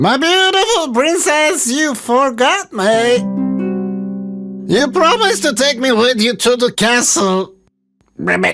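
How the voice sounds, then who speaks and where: A put-on character voice, croaky and fairly high in pitch, moves at a fairly slow pace with long, frequent pauses. Faint music plays in the background. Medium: read story. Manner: polite, croaks "ribbit".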